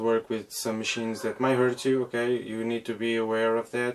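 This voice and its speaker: A man with a non-native accent talks at a moderate pace and medium pitch, his intonation monotone and flat, against noticeable background noise. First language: not English. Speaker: DIY flight sim cockpit builder. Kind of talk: casual tutorial intro. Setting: workshop. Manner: halting, repeats words.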